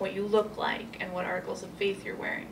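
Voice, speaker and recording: A woman with a medium pitch is heard in audible room echo alongside noticeable background noise. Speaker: human rights lawyer. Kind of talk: panel presentation. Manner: loud.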